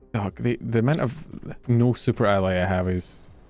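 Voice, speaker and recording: A man with a Scottish accent, fairly low in pitch, lively in intonation and at a moderate pace, with music in the background. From Scotland. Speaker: vtuber streamer. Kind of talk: casual gaming livestream chat. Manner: animated.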